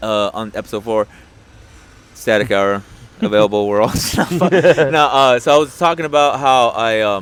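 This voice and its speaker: A medium-pitched male voice with lively intonation at a moderate pace. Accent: Spanish. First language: Spanish. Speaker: podcast host and comedian. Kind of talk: casual chat.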